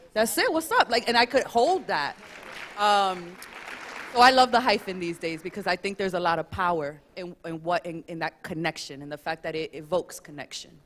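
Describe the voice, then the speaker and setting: Over crowd noise in the background, a woman speaks at a fairly quick pace. Her intonation is lively, with big swings in loudness. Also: medium pitch for a woman. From US, Dominican American family. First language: Spanish. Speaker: panelist. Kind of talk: panel discussion.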